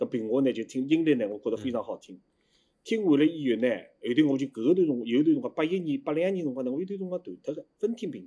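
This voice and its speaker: A man's fairly high voice with very wide pitch swings, big jumps in loudness and a very fast pace. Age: 50s. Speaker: former pingtan performer. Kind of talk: casual interview chat.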